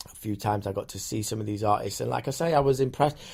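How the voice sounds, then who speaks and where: There's a somewhat breathy sound to this voice. It belongs to a man at medium pitch. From northern England, Sheffield. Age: 30s. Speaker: music producer, DJ and radio broadcaster. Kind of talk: casual interview chat. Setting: studio. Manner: animated.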